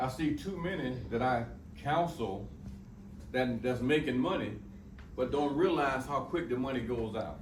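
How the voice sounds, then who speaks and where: Amid noticeable background noise and audible room echo, a man with a medium pitch speaks at a moderate pace with ordinary pitch variation and long, frequent pauses. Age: 60s. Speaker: motivational speaker and financial counselor. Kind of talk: talk to students. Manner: animated.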